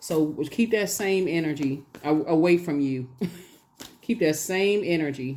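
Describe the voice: A slightly mellow tone at a slow pace with ordinary pitch variation. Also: woman, low pitch for a woman.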